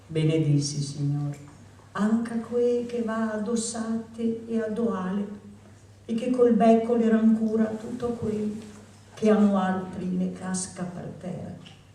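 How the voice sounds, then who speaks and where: A woman with a Venetian accent speaks very slowly at a fairly high pitch, with ordinary pitch variation. Noticeable background noise runs underneath. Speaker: poetry reader. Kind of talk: poetry reading. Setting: live reading.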